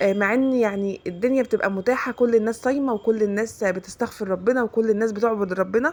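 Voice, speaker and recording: In an Egyptian accent, a woman speaks at a fairly high pitch. Her pitch variation is ordinary. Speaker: religious content creator. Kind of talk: religious advice talk. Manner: fast.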